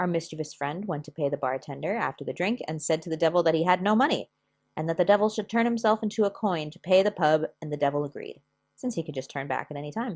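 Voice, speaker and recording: A woman talks at a very fast pace with lively intonation. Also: fairly low pitch for a woman, very clean recording, silent background. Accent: American. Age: 30s. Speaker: history and crafts YouTuber. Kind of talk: casual educational vlog with story reading.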